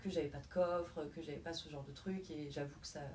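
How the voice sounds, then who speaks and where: Over noticeable background noise and audible room echo, a woman speaks in a fairly low, monotone voice with flat intonation. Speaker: singer in a band, prospective voice student. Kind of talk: interview. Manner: halting.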